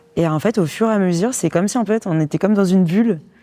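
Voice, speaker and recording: A woman talking at a very fast pace with ordinary pitch variation, music in the background. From Paris region, France. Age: 20s. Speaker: couple telling their love story. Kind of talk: casual interview-style storytelling.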